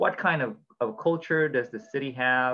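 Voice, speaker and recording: A man with a Filipino accent, at a moderate pace. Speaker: blockchain community host. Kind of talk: casual educational discussion. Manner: informal, code-switching Taglish.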